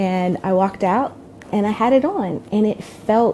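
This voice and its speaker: A woman speaks with a North Carolina accent. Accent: Southern US (North Carolina). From Durham, North Carolina, USA. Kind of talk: interview answer. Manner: casual, conversational with hesitations.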